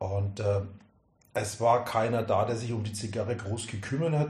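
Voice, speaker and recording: Audible room echo surrounds a man speaking at a moderate pace. His medium-pitched voice is somewhat breathy. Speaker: cigar sales expert. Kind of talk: casual chat.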